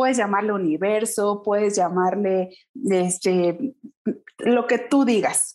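A woman talks very slowly, her pitch varying in an ordinary way, against a quiet background. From Mexico, Pachuca, Hidalgo. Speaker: small business and time management consultant. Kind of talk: interview.

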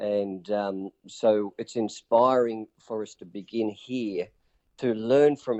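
Here is a man with a strong Australian accent. His pitch is fairly low. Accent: broad Australian. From Newcastle, Australia. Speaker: pastor and community charity leader. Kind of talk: interview.

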